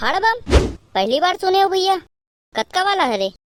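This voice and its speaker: A woman does a squeaky cartoonish character voice at an extremely high pitch, keeping a moderate pace and very even loudness. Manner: bossy, rustic.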